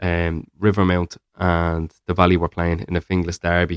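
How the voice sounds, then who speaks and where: Recorded dry and close with no echo, a man with a Dublin accent speaks at a very deep, low pitch and a moderate pace. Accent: Dublin Irish. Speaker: football podcast co-host. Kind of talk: casual chat. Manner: halting, many fillers.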